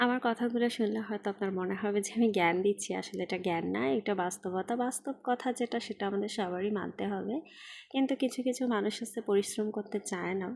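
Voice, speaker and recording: The recording is very clean with a silent background. A woman uses a normal speaking voice at a medium pitch with ordinary pitch variation. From Bangladesh, Khulna. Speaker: vlogger. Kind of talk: casual vlog monologue. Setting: outdoors on a rickshaw in the rain.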